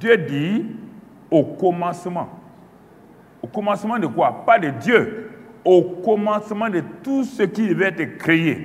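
Lively intonation at a very slow pace with long, frequent pauses. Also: man, high pitch for a man. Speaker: preacher. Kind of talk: teaching sermon. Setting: church conference with audience. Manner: earnest, didactic; deliberate, emphatic, repeating key phrases. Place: studio. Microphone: lapel.

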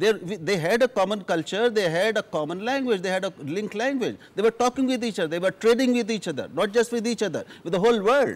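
A man with an Indian accent and a high-pitched voice talks at a very fast pace with ordinary pitch variation. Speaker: journalist. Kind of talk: televised panel debate. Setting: studio. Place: studio. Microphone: lapel.

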